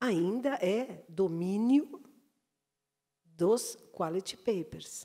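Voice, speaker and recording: A woman's voice shows ordinary pitch variation, with the background quiet. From Brazil. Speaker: journalist, branded content director; panelist. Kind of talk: panel talk. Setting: stage with audience. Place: stage. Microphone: handheld.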